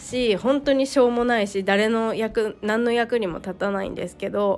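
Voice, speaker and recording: Background music plays throughout. Over it, a woman keeps a moderate pace. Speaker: solo podcaster, mother. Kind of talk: casual solo monologue. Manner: halting, many pauses and fillers.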